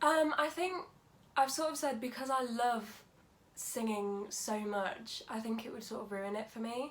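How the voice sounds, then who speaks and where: A woman speaks with an East Midlands accent at a fairly high pitch. Her pace is fairly slow, with ordinary pitch variation. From England, Lincolnshire. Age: 20s. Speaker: drama school student. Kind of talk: casual interview.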